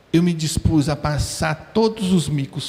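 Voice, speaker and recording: High male speech amid noticeable background noise. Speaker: preacher. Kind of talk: sermon.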